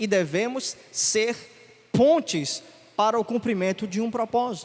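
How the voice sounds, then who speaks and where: A man speaks at a fairly slow pace in a high voice. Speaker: preacher. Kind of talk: sermon.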